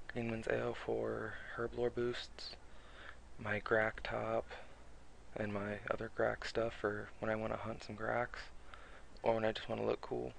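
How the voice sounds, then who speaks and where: A soft-spoken man talks at a fairly slow pace, leaving long, frequent pauses. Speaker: gaming video creator. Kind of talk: tutorial. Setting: home recording at night. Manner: halting.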